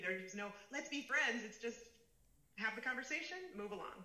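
A woman with a Chicago accent talks at a fairly quick pace in a bright, sharp tone with ordinary pitch variation. Room echo is audible. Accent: Chicago American. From US Midwest, Chicago suburbs. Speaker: fashion executive. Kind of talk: interview.

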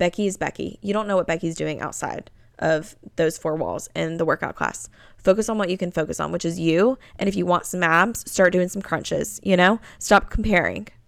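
With vocal fry and an animated tone, a woman speaks at a fairly low pitch and ordinary pitch variation. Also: moderate pace, very clean recording, silent background. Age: 20s. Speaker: podcast host. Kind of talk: casual monologue.

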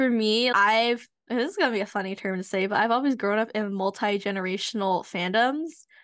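An ordinary speaking voice from a woman with an American accent, fairly high in pitch with ordinary variation, at a fairly quick pace over a quiet background. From United States. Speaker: podcast co-host and university researcher. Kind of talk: casual chat.

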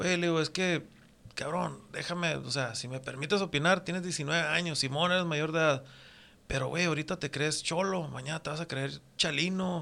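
Bright and sharp in tone, a man's fairly high voice moves at a moderate pace with fairly even intonation. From northwestern Mexico, Mexicali and Puerto Peñasco. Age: 40s. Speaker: tattoo artist. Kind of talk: casual chat.

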